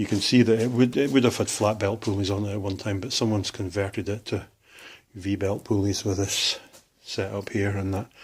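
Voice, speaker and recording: Speaking with a Scottish accent, a man with a fairly low pitch sounds somewhat breathy and keeps his intonation fairly even. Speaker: hobbyist machinist. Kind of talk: workshop tour. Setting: workshop. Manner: casual, hesitant with fillers.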